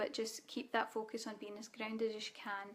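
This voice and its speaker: A woman speaks in a Scottish accent with a fairly high pitch and monotone, flat intonation. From Scotland. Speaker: spiritual coach. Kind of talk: live Q&A webinar. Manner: casual.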